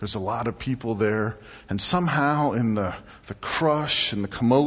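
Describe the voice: Someone reads a text out in a plain manner.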